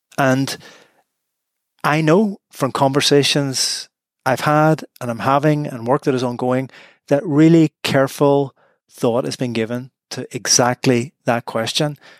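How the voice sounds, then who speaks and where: The voice carries a Northern Irish accent with fairly even intonation. The recording is very clean with a silent background, and the sound is dry and close with no echo. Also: man, medium pitch for a man, fairly slow pace. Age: 50s. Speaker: law professor. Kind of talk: interview.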